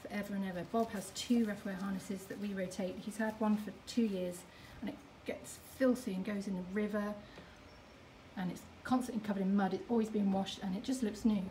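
A woman's fairly quick, fairly evenly intoned speech over light background noise. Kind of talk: casual store tour commentary. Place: shop. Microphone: phone near.

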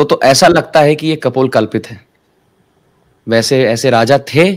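A man at a fairly slow pace, ordinary pitch variation, quiet background. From Mumbai, India; India. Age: 20s. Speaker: spiritual teacher. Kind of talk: interview. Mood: calm, warm, explanatory. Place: home room. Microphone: webcam.

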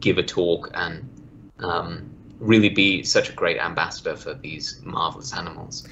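A man talks with a British accent over light background noise. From Australia. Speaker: museum worker. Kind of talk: podcast interview answer. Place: home room. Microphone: video call.

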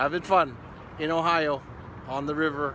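A man speaks with a bright, sharp tone. The sound is dry with no echo, and background noise is noticeable. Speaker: travel vlogger. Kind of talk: casual vlog chat. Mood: cheerful, relaxed. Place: street. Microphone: phone near.

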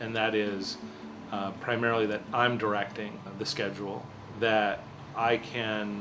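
Over noticeable background noise, a man talks at a fairly slow pace and medium pitch with monotone, flat intonation. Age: 40s. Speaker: photographer. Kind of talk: interview testimony. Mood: warm, reflective. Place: home room.

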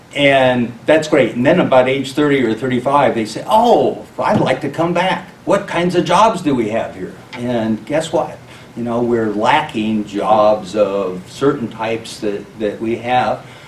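A man at a fairly slow pace, with audible room echo and light background noise. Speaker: candidate. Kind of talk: interview answer. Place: meeting room.

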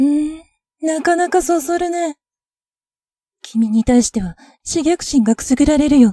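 Dark and mellow in tone, the speech moves at a fairly slow pace with lively intonation and long, frequent pauses, in a dry, close sound with no echo. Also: woman, high pitch for a woman. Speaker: ASMR voice actor playing a boyish vampire. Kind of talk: ASMR roleplay, scripted vampire voice drama. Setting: ASMR binaural audio with sound effects. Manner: soft, teasing and playful, slow and intimate, like a calm whisper.

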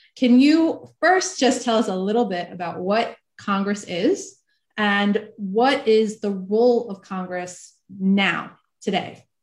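Against a quiet background, a somewhat breathy woman talks at a very slow pace with ordinary pitch variation. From New Jersey, US (moved to Israel at 13). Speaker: online event host and interviewer; interviewer, host. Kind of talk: interview. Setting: video call. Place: home room. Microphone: video call.

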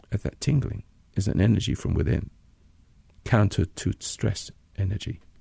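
A man with an American accent speaks at a fairly low pitch in a dark, mellow, somewhat breathy tone, with ordinary pitch variation and long, frequent pauses, in a dry, close sound with no echo. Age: 80s. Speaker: radio host and meditation teacher. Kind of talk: guided meditation. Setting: studio recording. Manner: calm, slow, instructional.

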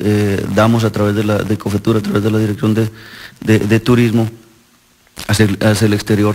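A man's fairly low voice, flat and monotone, at a moderate pace. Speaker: mayor. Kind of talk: interview. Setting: town council chamber. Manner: halting.

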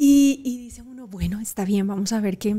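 A woman's fairly quick pace. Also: quiet background. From Colombia, Cali. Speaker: actress and TV presenter; actress, TV presenter. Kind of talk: interview conversation. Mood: warm, reflective. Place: studio. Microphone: studio mic.

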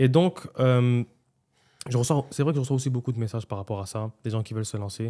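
Over a quiet background, a man with a dark, mellow tone and a medium pitch talks at a moderate pace with ordinary pitch variation. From Montreal, Quebec. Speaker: restaurant owner, entrepreneur; podcast guest. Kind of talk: casual interview, life story. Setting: podcast studio. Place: studio. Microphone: studio mic.

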